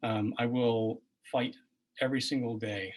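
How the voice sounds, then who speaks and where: A soft-spoken man talks at medium pitch in a somewhat breathy voice. His intonation stays fairly even. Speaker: political candidate, physician. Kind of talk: candidate forum answer. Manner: halting.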